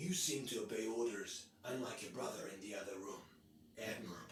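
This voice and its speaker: A put-on character voice at a fairly quick pace, with slight echo and clear background noise. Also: man, medium pitch for a man. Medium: video game. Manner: cold, controlling, condescending.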